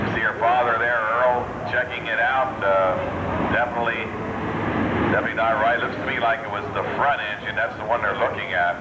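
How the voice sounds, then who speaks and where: Loud noise fills the background. A man talks at a fairly quick pace. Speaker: event commentator. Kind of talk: commentary.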